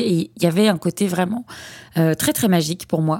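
A woman's fairly low, dark and mellow voice at a moderate pace, with ordinary pitch variation. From France, Lyon region. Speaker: podcast host, founder of a platform for child therapists. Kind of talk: solo podcast monologue. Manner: hesitant, many fillers and repetitions.

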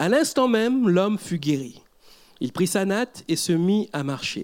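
In a very clean recording with a silent background, a man with a high pitch speaks at a very slow pace, his pitch swinging very widely. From Mauritius. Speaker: pastor. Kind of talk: sermon.

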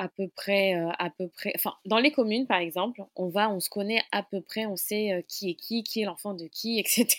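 The sound is dry and close, without echo. A woman speaks at a fairly slow pace with ordinary pitch variation. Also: medium pitch for a woman. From Mayotte. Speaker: community venue manager. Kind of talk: interview. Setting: remote recording.

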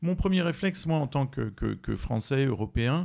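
A man's lively intonation and moderate pace come through on a very clean recording with a silent background. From France. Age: 40s. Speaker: writer. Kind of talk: interview. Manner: halting, many repetitions.

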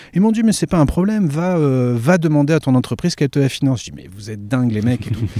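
The speech rushes at a very fast pace with hardly any pauses, very wide pitch swings, and big swings in loudness. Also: man, fairly high pitch for a man. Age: 40s. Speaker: podcast host. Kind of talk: interview answers, casual chat. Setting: outdoors in a garden. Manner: raised voice to cover surrounding sounds.

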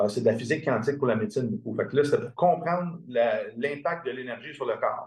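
Speaking at a fairly quick pace, a man uses a fairly high pitch, lively intonation and a somewhat breathy sound. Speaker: integrative medicine practitioner. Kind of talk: interview.

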